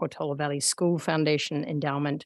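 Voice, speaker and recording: A woman with a slight Australian accent at a fairly quick pace, in a very clean recording with a silent background. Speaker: meeting facilitator. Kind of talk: public meeting. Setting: in-person meeting room. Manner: halting, many fillers.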